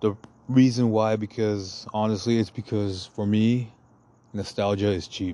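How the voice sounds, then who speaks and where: With long, frequent pauses, a man speaks in a monotone, flat intonation, his tone dark and mellow and his pitch fairly low. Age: 30s. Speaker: solo podcast host. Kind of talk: casual monologue. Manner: slangy, rambling delivery.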